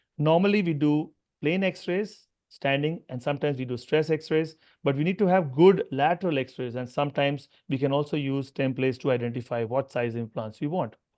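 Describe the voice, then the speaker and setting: Pitch varies in an ordinary manner. Speech comes at a fairly quick pace. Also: man, fairly high pitch for a man. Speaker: orthopaedic surgeon. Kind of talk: lecture. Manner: fast.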